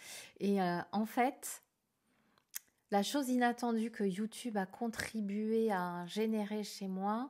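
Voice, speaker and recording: Against a silent background in a very clean recording, a woman speaks very slowly at medium pitch. Her tone is dark and mellow, her intonation fairly even. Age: 60s. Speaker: tarot and akashic reading youtuber and trainer. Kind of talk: casual vlog Q&A monologue. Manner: hesitant, many fillers and repetitions.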